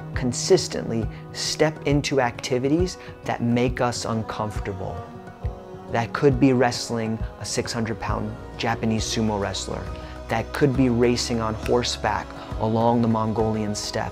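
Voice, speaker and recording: A man with an American accent talks at a moderate pace with ordinary pitch variation, clear music playing behind him. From Brooklyn, New York City; New York City. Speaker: motivational speaker. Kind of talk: keynote speech; motivational talk to camera.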